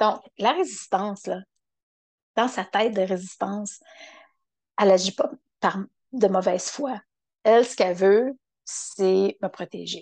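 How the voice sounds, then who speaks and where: In a dry, close sound with no echo, a woman talks at a fairly slow pace with ordinary pitch variation and long, frequent pauses. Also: medium pitch for a woman. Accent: Quebec. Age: 50s. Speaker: podcaster. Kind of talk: solo reflective monologue. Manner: halting.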